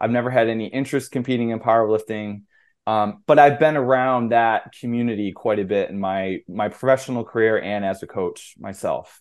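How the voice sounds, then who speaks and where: An unremarkable speaking voice from a man, medium pitch, fairly quick pace and fairly even intonation. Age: 40s. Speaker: strength coach. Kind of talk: casual chat.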